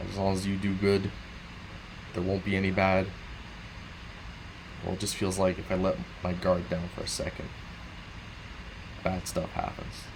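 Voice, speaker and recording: Amid noticeable background noise and audible room echo, a man with a very deep, low voice speaks at a moderate pace in a monotone, flat intonation. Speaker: gaming streamer. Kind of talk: casual late-night monologue.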